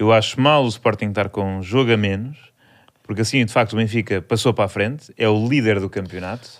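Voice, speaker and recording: In a very clean recording with a silent background, a man with an ordinary speaking voice talks at a fairly quick pace, fairly low in pitch and with fairly even intonation. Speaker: comedian podcast host. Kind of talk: casual chat.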